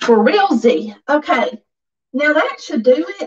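A speaker with a Southern US accent talks over a quiet background. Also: woman. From US South. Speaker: livestream vlogger. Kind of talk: casual chat. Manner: chatty, informal. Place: home room.

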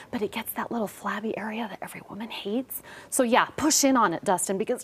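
The speech moves at a very fast pace with ordinary pitch variation. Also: woman. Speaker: TV show host. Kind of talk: talk show interview, product demo. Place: studio.

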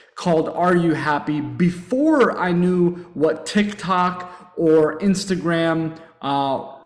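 A man's high voice at a very slow pace, with fairly even intonation and audible room echo. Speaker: webinar presenter. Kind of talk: webinar presentation. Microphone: webcam.

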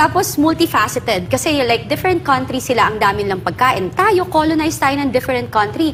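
Noticeable background noise surrounds a woman with a high voice and very wide pitch swings. She goes at a fairly quick pace with hardly any pauses. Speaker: image consultant. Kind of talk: casual political talk show chat.

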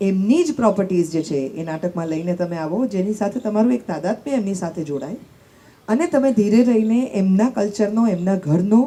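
An unremarkable speaking voice from a woman, medium in pitch, with lively intonation. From Gujarat. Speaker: radio jockey. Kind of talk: panel discussion.

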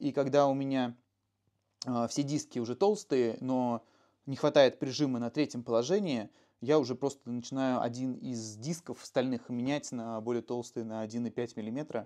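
A man's voice, dark and mellow in tone, shows ordinary pitch variation over a quiet background. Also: fairly slow pace. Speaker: motorcycle mechanic; motorcycle mechanic host. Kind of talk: technical explanation. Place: garage. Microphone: lapel.

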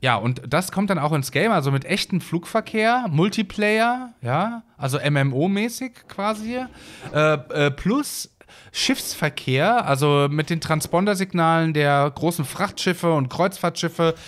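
A high-pitched man speaks at a very slow pace with lively intonation and very even loudness. The recording is very clean, the background silent. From Hesse, Germany. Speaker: gaming YouTuber. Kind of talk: let's play commentary. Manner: casual, rambling with many fillers.

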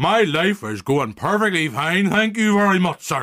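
A put-on character voice in a Northern Irish accent, bright and sharp in tone, at a moderate pace with big pitch swings. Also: man, high pitch for a man.

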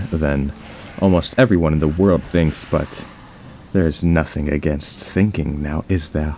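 Noticeable background noise sits behind the recording. A man speaks at a fairly slow pace with a very deep, low pitch. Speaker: gaming commentator. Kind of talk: quiet gameplay commentary.

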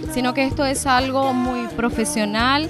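A woman's voice at a fairly slow pace, dry with no echo, music in the background. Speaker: dance teacher or organiser interviewed. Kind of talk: interview answer. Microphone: handheld.

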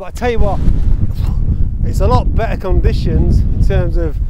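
Loud background noise around a man's voice, recorded dry with no echo. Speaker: hiking photographer vlogger. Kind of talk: casual vlog chat. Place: open country.

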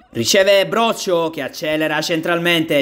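Noticeable background noise fills the space behind this man as he talks. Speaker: sports commentator. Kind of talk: live sports commentary. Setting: five-a-side pitch.

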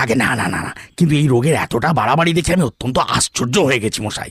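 A man performs a put-on character voice at medium pitch. He moves at a fairly quick pace with ordinary pitch variation. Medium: audio drama.

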